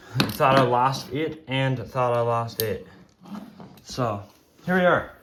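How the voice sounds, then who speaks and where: A man's very slow speech with audible room echo and noticeable background noise. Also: medium pitch for a man, ordinary pitch variation. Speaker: tech YouTuber. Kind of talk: tutorial. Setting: at home. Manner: loud; casual with fillers.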